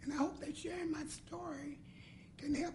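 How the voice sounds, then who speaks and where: A woman's high, dark and mellow voice in an American accent, monotone and flat, at a moderate pace with audible room echo. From US Midwest, Cincinnati, Ohio. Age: 60s. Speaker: patient telling her story. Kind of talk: personal testimony. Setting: roundtable meeting with audience. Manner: halting.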